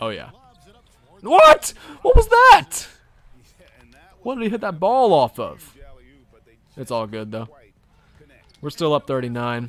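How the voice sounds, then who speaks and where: With a slight Southern US accent, a man talks at a fairly slow pace in an animated tone. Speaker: gaming streamer. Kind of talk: casual chat.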